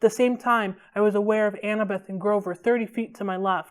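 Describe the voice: The passage is read aloud plainly, and the intonation stays fairly even.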